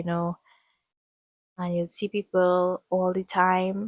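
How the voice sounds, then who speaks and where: A woman speaks in a monotone, flat intonation on a very clean recording with a silent background. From Trinidad and Tobago. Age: 20s. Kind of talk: casual talk to camera.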